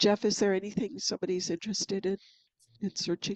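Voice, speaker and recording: Using a plain, everyday voice, a woman talks fairly quickly at medium pitch with fairly even intonation. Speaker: IT professional presenting a webinar. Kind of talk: webinar tutorial with screen demo. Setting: video call webinar.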